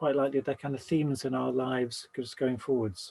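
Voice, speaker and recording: Speaking at a moderate pace, a man uses a normal speaking voice with fairly high pitch and fairly even intonation. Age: 60s. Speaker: Buddhist teacher giving a talk. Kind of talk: dharma talk.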